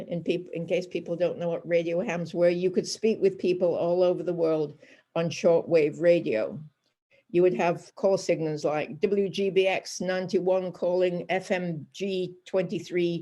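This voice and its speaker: A woman's fairly low voice, dark and mellow in tone, at a moderate pace with fairly even intonation. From northern England. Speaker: Holocaust survivor. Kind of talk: lecture.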